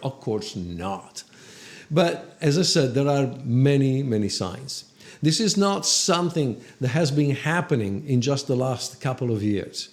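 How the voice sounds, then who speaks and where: A fairly high-pitched man in an Italian accent, lively in intonation and fairly slow, over noticeable background noise. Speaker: film photographer. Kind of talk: educational talk to camera.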